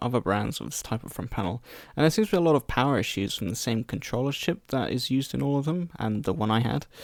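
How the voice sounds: Recorded with a dry, close sound with no echo, a man talks at a fast pace with lively intonation.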